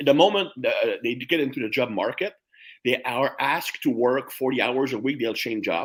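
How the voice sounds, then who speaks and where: Medium-pitched male speech with a French accent at a moderate pace. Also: ordinary pitch variation. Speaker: strength and conditioning coach. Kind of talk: interview conversation.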